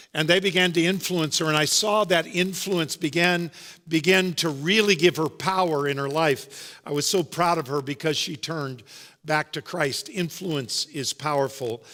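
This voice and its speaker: This man talks loudly at a moderate pace in a fairly high voice, his tone bright and sharp, with ordinary pitch variation on a very clean recording with a silent background. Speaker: pastor. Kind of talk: sermon. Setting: church.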